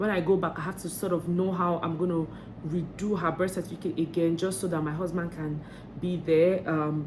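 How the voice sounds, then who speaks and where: Monotone, flat speech at a fairly quick pace, with audible room echo. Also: woman. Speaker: vlogger. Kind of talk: vlog tips talk. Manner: fast; hesitant, many fillers.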